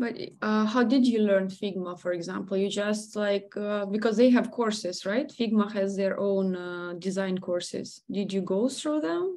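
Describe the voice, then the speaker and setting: A woman speaks with a dark, mellow tone. Her pace is fairly slow. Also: ordinary pitch variation. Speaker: webinar host for a design community. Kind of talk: webinar moderation. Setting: video call. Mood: curious, relaxed. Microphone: video call.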